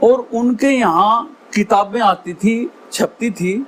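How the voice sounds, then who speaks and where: A man's speech shows ordinary pitch variation, with noticeable background noise present. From western Uttar Pradesh, Baghpat district. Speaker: Haryanvi ragni folk singer. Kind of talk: interview answer.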